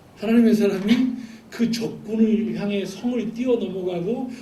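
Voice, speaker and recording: Audible room echo and noticeable background noise. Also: man. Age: 40s. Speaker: missionary. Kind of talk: sermon.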